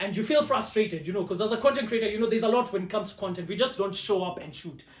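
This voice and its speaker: A man's high voice at a very fast pace, ordinary pitch variation and big swings in loudness, over noticeable background noise. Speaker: automotive content creator. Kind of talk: podcast interview. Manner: loud, talkative.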